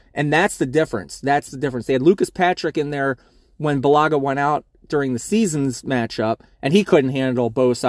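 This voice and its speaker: In an American accent, a man with an unremarkable speaking voice, fairly high pitch and ordinary pitch variation talks at a fairly quick pace, with a dry, close sound with no echo on a very clean recording with a silent background. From US Mid-Atlantic, Baltimore. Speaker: fantasy football podcaster. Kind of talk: solo sports preview. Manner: casual, conversational.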